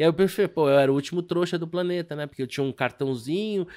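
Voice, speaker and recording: On a very clean recording with a silent background, a man speaks with high pitch and ordinary pitch variation. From Brazil, Rio de Janeiro. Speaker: stock market broker and investment advisor. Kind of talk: casual interview chat.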